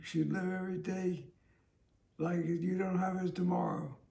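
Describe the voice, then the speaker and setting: Audible room echo surrounds a man whose high-pitched voice has a dark, mellow tone and a moderate pace. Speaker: interviewee living with a terminal illness. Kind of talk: interview. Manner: slurred, impaired speech; halting.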